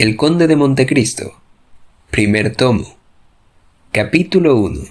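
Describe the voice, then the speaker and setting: With a plain, everyday voice, a man of medium pitch speaks at a fairly slow pace with lively intonation. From Venezuela. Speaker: storyteller, radio announcer. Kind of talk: audiobook introduction.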